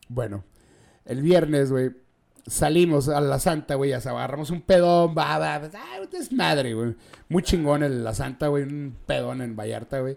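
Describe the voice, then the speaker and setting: A man speaks in a Mexican accent at a fairly slow pace. His pitch is fairly high, with ordinary variation. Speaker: podcast host. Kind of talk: casual chat.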